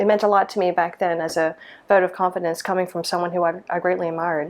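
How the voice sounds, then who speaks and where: With an American accent, a woman talks at a fairly quick pace. Her pitch is fairly low and her intonation fairly even. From US South, small-town Mississippi. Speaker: lighting designer. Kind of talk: interview monologue. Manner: hesitant, many fillers.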